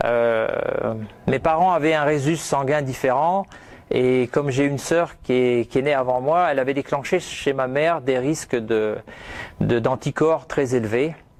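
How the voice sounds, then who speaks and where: Speaking at a very slow pace, a man has a fairly high pitch and ordinary pitch variation. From France. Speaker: speaker, former hospital worker. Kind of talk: conference talk. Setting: stage with audience. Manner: loud; hesitant, many fillers.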